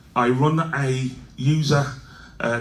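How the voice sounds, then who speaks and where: A somewhat breathy man talks with a Birmingham accent, and audible room echo surrounds his voice. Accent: Birmingham (Brummie). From England, Birmingham. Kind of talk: conference talk. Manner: halting, many fillers and restarts.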